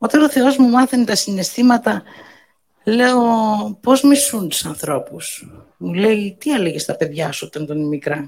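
A woman with a fairly high pitch and a somewhat breathy voice talks at a fairly slow pace, taking long, frequent pauses, her pitch swinging very widely. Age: 60s. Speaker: birthday host giving a speech. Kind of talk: birthday speech to guests.

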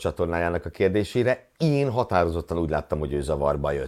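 Very deep and low in pitch, a man talks at a fairly quick pace with lively intonation in a very clean recording with a silent background. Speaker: motorsport podcast co-host. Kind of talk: casual news roundup chat.

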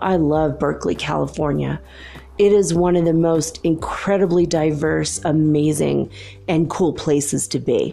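Over noticeable background noise, a woman speaks at a fairly slow pace with very even loudness. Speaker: podcast host. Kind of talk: solo monologue. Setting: home recording at night. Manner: lower pitch than usual; quiet to avoid waking neighbors.

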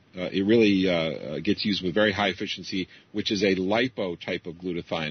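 In an ordinary speaking voice, a man talks at a fairly quick pace with a fairly low pitch. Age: 50s. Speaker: computer programmer and geoengineering researcher. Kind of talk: interview.

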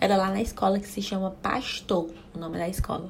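A woman speaks in a somewhat breathy, monotone, flat voice at a medium pitch. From Brazil, Ceará (Caucaia, near Fortaleza). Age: 20s. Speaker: podcast host, mother. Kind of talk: casual solo chat. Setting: home bathroom.

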